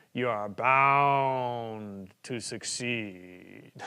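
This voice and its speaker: Using a put-on character voice, a man speaks very slowly at a medium pitch, resonant, with ordinary pitch variation. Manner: slow, measured.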